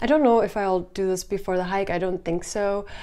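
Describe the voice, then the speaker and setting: A woman's medium-pitched voice with a slight German accent, moderate pace and ordinary pitch variation. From Germany. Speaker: hiking vlogger. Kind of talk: Q&A vlog.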